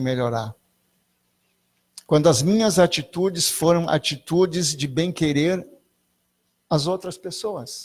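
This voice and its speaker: A man with a fairly high pitch talks at a fairly slow pace, somewhat breathy and with ordinary pitch variation, in a very clean recording with a silent background. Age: 60s. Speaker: spiritualist lecturer. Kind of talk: spiritual talk. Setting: spiritualist centre with audience.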